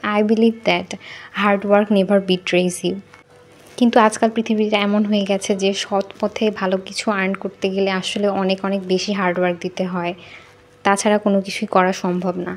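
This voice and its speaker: With music in the background, a woman in a Bangladeshi accent speaks at a medium pitch with a monotone, flat intonation. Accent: Bangladeshi Bengali. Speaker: university student. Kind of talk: casual study vlog talk to camera.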